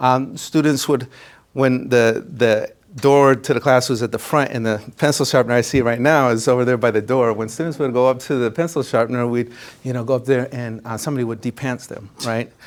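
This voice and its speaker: Using fairly even intonation, a man with a Spanish accent and medium pitch speaks at a fairly quick pace. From Minnesota, Minneapolis suburb. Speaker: college counselor. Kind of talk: presentation. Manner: conversational, with frequent fillers.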